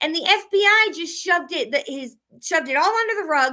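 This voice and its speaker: Using a raised, projected voice, a woman with an American accent speaks in a bright, sharp tone with lively intonation. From Connecticut. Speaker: citizen journalist. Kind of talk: casual monologue. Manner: fast.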